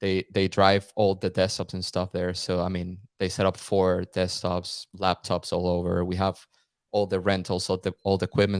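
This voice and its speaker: A man's very deep, low voice with a Spanish accent at a moderate pace, monotone and flat in intonation, with a dry, close sound, no echo and a very clean recording over a silent background. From Venezuela, Caracas. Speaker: content creator. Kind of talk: podcast interview. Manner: casual, halting with repetitions.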